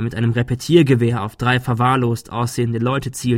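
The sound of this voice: Reading in an unforced reading voice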